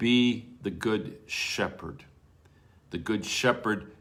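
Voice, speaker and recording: A man's medium-pitched voice. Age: 70s. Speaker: preacher. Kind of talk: devotional Bible teaching.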